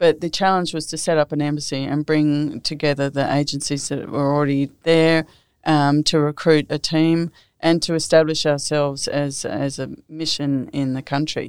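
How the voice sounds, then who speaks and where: In a very clean recording with a silent background, a woman with an Australian accent speaks at a moderate pace in a very deep, low pitch, her intonation monotone and flat. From Australia, New South Wales Southern Highlands. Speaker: former ambassador. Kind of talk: interview.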